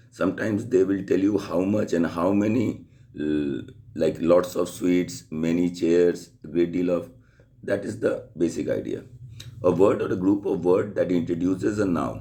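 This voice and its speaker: With audible room echo, a man talks at a moderate pace in a very deep, low pitch and a dark, mellow tone, showing ordinary pitch variation. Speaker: school teacher. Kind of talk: lecture.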